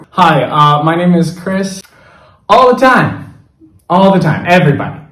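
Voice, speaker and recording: A man with an American accent talks at a fairly slow pace and a high pitch, with ordinary pitch variation. Audible room echo surrounds his voice. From Los Angeles, US. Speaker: podcast interviewee. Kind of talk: casual chat.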